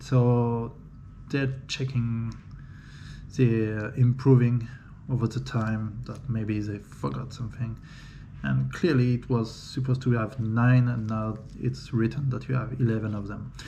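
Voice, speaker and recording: Man with a French accent, medium pitch, fairly slow pace, fairly even intonation, and audible room echo. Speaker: 3D printing hobbyist. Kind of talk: unboxing video. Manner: halting.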